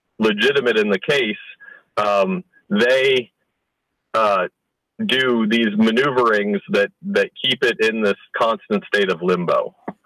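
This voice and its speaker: With a bright, sharp tone at medium pitch, a man speaks at a very slow pace with long, frequent pauses, ordinary pitch variation and very even loudness, in a dry, close sound with no echo. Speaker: father in a custody dispute. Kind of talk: interview answer. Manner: hesitant.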